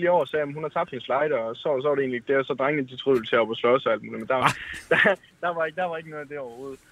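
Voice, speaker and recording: Very fast in pace, the voice carries a North Jutland accent and ordinary pitch variation. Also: man. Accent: North Jutlandic dialect. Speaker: caller. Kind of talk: anecdote told on call-in show.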